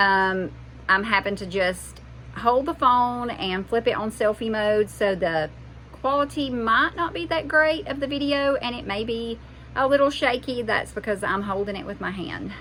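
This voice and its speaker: In a Southern US accent, a woman speaks at a moderate pace. Her pitch is fairly high and her intonation lively. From US South. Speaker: homesteading mom vlogger. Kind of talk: casual vlog monologue. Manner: halting, with fillers.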